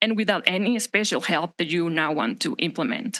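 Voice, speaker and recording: Someone with a Spanish accent speaks against a quiet background. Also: woman. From Mexico. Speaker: resident speaking at public comment. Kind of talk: public comment speech. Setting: city council meeting. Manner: formal.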